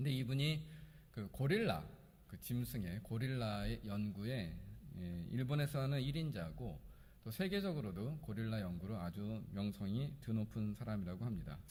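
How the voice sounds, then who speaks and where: There is audible room echo around a man whose fairly low voice sounds somewhat breathy. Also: moderate pace. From Korea. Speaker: pastor. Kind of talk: sermon. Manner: hesitant, with fillers.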